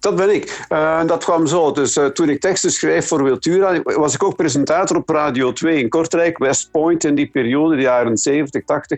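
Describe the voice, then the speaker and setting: The man's voice sits fairly high, with ordinary pitch variation. He speaks at a moderate pace. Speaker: songwriter and former radio presenter. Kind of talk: phone interview. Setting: phone call. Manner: halting.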